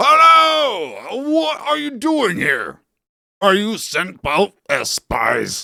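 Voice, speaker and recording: Using a put-on character voice, a man speaks very slowly at an extremely high pitch in a raised, projected voice. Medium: read story.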